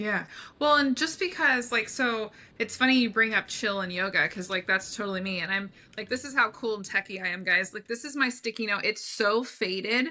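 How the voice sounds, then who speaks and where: A loud, fairly high-pitched woman's voice with a bright, sharp tone at a fairly quick pace. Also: ordinary pitch variation. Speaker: brand strategist, business owner. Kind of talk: podcast interview. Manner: animated.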